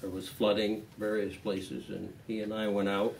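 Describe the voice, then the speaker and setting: A man's fairly low voice at a very slow pace, with audible room echo. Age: 70s. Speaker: retired TV newsman. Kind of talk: casual chat.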